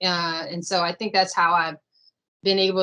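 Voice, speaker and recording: A woman speaks at a medium pitch in a bright, sharp tone with monotone, flat intonation. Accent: American. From Washington DC area (Silver Spring, Maryland). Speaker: real estate consultant, business owner. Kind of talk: interview on video call. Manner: conversational, many fillers.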